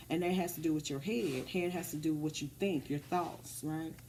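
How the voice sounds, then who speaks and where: With an American accent, a woman speaks in a fairly low pitch and a dark, mellow tone. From Texas. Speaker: tarot reader. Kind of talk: tarot reading. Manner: halting, many fillers.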